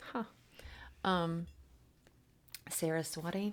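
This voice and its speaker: A woman speaks quietly in a fairly low pitch. Her intonation stays fairly even. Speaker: tarot reader and spiritual channeler. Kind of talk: spiritual oracle card reading livestream. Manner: quiet, low voice.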